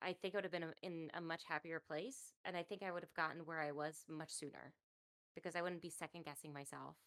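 A woman with a normal speaking voice talks at a fairly quick pace. Her pitch is fairly low. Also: fairly even intonation. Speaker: co-host. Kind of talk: casual chat.

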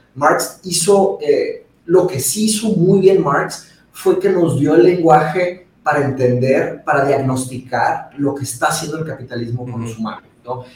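A man speaks at a fairly slow pace in an ordinary speaking voice. His pitch sits fairly high, with ordinary variation. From Monterrey, northern Mexico (born in Brazil). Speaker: philosophy commentator. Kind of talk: casual chat.

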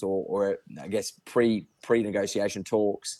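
A man with an Australian accent speaks in a dark, mellow tone on a very clean recording with a silent background. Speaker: horse racing tipster. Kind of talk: casual chat.

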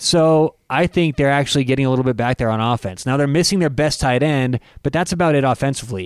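A man with a fairly high pitch, talking at a very fast pace with hardly any pauses, very even loudness and ordinary pitch variation, in a dry, close sound with no echo and a very clean recording over a silent background. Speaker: podcast host. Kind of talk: casual chat.

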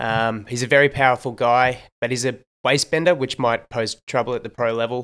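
The man's voice sits at medium pitch, with an Australian accent. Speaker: sports podcast host. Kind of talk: casual sports analysis chat. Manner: animated.

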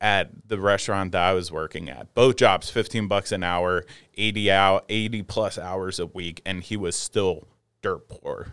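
Here a man with an unremarkable speaking voice talks at a fairly slow pace and a fairly low pitch, with fairly even intonation. The recording is very clean, with a silent background. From New Jersey. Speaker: cannabis cultivator and comedian. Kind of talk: casual chat. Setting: studio.

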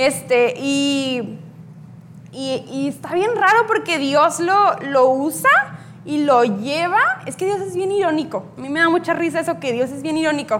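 A woman's high-pitched voice with very wide pitch swings at a fairly slow pace, audible room echo and noticeable background noise. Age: 20s. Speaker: youth speaker. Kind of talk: sermon. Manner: hesitant with fillers.

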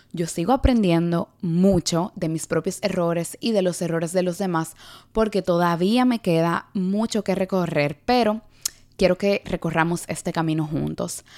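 At a fairly slow pace, a woman with an unremarkable speaking voice talks in a fairly low voice with ordinary pitch variation, in a dry, close sound with no echo. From Dominican Republic. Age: 20s. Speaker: podcast host and TikTok creator. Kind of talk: solo podcast monologue.

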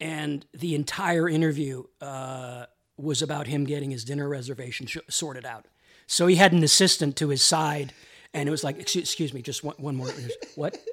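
On a very clean recording with a silent background, a man with an unremarkable speaking voice talks fairly quickly at a fairly high pitch and with fairly even intonation. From Canada. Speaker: entertainment journalist. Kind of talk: casual interview. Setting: host's apartment.

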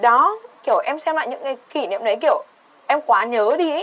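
A woman at a moderate pace with lively intonation. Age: 20s. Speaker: podcast guest. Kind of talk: casual chat.

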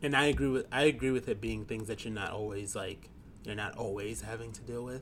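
A man of medium pitch talks at a fairly quick pace with vocal fry, big swings in loudness and ordinary pitch variation. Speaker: podcast co-host. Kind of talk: casual chat. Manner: giggly, playful.

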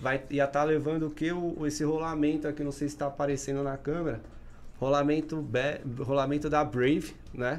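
This man talks at a moderate pace with a fairly high pitch. His intonation is monotone and flat. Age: 30s. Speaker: podcast host. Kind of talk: casual chat.

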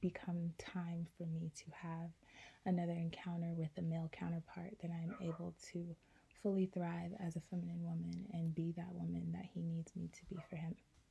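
A woman with a fairly low, somewhat breathy voice and a dark, mellow tone speaks in a flat monotone at a moderate pace. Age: 20s. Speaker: podcast host. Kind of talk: solo podcast monologue.

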